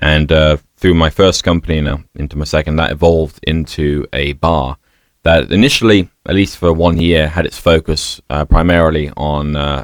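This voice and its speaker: A man with a British accent talks at a moderate pace, his very deep, low voice carrying fairly even intonation in a dry, close sound with no echo. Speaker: bar owner. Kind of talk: interview conversation. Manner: hesitant, many fillers.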